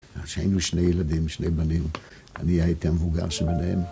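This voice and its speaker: Music in the background plays as a man with a very deep, low pitch talks at a moderate pace. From Poland. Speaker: Holocaust survivor. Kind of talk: interview answer.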